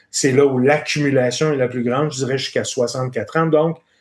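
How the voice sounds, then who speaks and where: A man talks with a fairly high pitch and fairly even intonation. It is an ordinary speaking voice. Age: 60s. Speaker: finance executive. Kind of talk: podcast interview.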